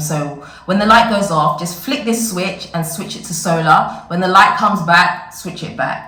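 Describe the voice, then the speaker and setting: A woman speaks at a fairly slow pace with ordinary pitch variation. Noticeable background noise and audible room echo fill the recording. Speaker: vlogger. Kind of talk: casual vlog talk.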